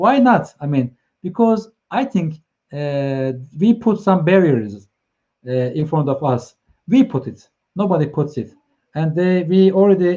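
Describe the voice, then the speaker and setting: A man with a Turkish accent speaks at a fairly slow pace, his fairly high voice carrying a dark, mellow tone. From Turkey, Ankara. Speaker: live stream host, consultant. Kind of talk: live stream chat. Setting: online live stream. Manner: halting, many fillers.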